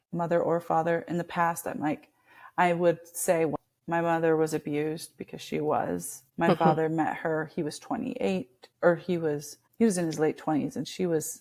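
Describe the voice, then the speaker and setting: A woman with an American accent and an unremarkable speaking voice talks at a moderate pace, her fairly low pitch showing ordinary variation. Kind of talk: podcast interview answer.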